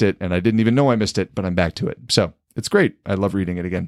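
The man's pitch is very deep and low, in a dry, close sound with no echo. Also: very clean recording, silent background. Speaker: podcast host. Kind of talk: casual conversation.

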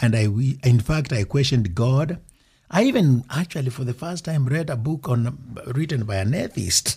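A man's somewhat breathy, dark, mellow voice at medium pitch, with lively intonation and a moderate pace. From Kenya. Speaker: ministry founder and motivational speaker. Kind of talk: casual interview.

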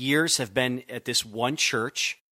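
In a New England accent, a man talks at a fairly slow pace with a bright, sharp tone, in a dry, close sound with no echo on a very clean recording with a silent background. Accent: noticeable New England. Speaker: youth pastor. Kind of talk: interview.

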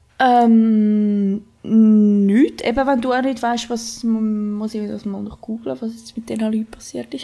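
A woman speaks at a very slow pace with fairly even intonation. Her voice is fairly high in pitch and somewhat breathy. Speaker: podcast co-host. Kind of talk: casual chat.

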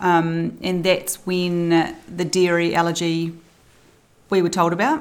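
A woman with a New Zealand accent speaks very slowly at a fairly low pitch. Her intonation is flat and monotone. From New Zealand, South Island. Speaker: early childhood centre owner and mother. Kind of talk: casual interview. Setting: at a kitchen table.

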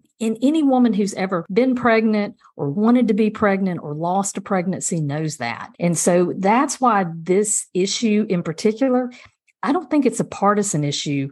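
With a Southern US accent, a woman speaks at a medium pitch with lively intonation. She leaves hardly any pauses. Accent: Southern US (Georgia). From US South, rural South Georgia (Dodge County). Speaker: state senator and lawyer, political candidate. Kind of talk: podcast interview.

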